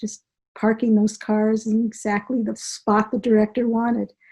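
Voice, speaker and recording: A woman speaks slowly, fairly high in pitch yet dark and mellow in tone. Her voice is somewhat breathy and her intonation flat and monotone. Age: 70s. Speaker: author and healing practitioner. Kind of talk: interview.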